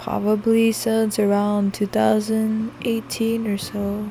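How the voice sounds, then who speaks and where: Noticeable background noise is present. Through it, a woman talks in a fairly high pitch. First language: Spanish. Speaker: gaming YouTuber. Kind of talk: gameplay voice-over commentary. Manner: casual, hesitant with fillers.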